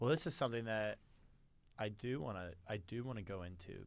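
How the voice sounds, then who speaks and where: The man's pitch is fairly low, with ordinary variation. He keeps a moderate pace. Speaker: podcast co-host. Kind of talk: casual chat.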